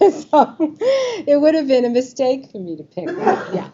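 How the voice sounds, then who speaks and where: In a New York accent, a woman speaks at a moderate pace. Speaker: Medicare advisor speaking to a group. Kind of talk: informational presentation with audience quiz. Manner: lively, conversational.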